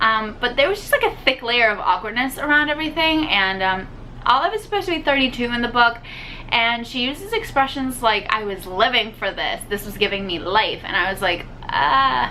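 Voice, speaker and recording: A woman talks at a fairly quick pace with a high pitch and lively intonation. There is noticeable background noise. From Puerto Rico. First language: Spanish. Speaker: book youtuber. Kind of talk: casual book review vlog. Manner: casual, many filler words (um, like).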